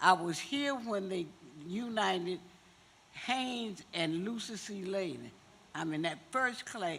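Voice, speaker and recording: Words arrive at a very slow pace. Pauses are long and frequent. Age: 80s+. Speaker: community member at public meeting. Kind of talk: public comment at community meeting.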